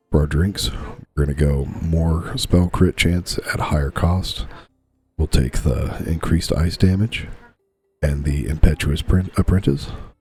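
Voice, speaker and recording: Over music in the background, a man speaks quietly in a very deep, low voice with ordinary pitch variation. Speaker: gaming YouTuber. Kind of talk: gameplay commentary. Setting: home recording, bedroom with TV on. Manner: quiet, low voice.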